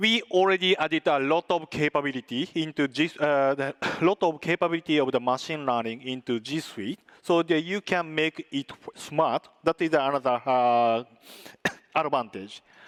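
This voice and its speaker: The speaker's intonation is lively, in a dry, close sound with no echo. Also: man. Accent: non-native. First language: not English. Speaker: tech company presenter. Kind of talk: conference presentation with demo. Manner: halting, many filler sounds.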